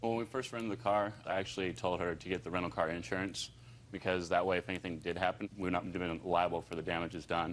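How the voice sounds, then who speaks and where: Speaking at a very fast pace, a man has a very deep, low pitch. His intonation stays fairly even. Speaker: defendant, event promoter. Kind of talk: testimony. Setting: TV courtroom.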